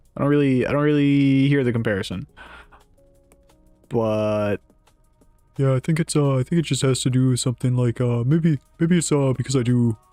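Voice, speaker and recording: A man speaks at a moderate pace, his pitch medium with ordinary variation. He leaves long, frequent pauses while music plays in the background. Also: very even loudness. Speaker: streamer. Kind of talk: casual.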